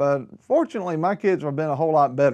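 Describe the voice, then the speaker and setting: A man talks at a fairly quick pace, his pitch varying in an ordinary way, over a quiet background. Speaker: preacher, program host. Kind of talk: televised religious talk. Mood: warm, earnest. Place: studio. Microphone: lapel.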